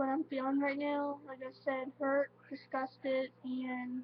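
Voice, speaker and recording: At a high pitch, a woman speaks at a very slow pace. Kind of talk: casual talk to camera. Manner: halting, emotional.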